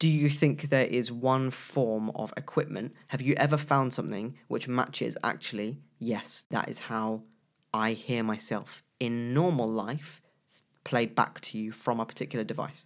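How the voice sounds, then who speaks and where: A man with a normal speaking voice talks at a fairly slow pace, his medium pitch following a fairly even intonation on a very clean recording with a silent background. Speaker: podcast co-host. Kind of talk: casual chat.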